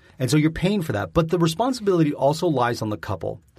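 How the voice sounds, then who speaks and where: A man with a Canadian accent speaks with vocal fry and very wide pitch swings. The recording is very clean, with a silent background. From Southern Ontario, Canada. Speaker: podcast co-host, former front-of-house server. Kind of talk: casual chat.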